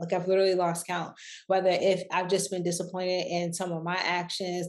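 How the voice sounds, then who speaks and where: In a monotone, flat intonation, a woman talks fairly quickly. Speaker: business coach and online entrepreneur. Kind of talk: casual talk to camera. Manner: conversational, many fillers.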